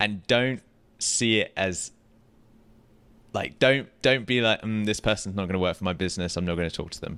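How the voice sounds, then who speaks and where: Pausing long and often, a man with a British accent speaks at a fairly low pitch in a bright, sharp tone. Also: ordinary pitch variation, moderate pace, very clean recording, silent background. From UK. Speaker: podcast co-host, real estate tech business. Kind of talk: casual chat. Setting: live at a conference in Las Vegas.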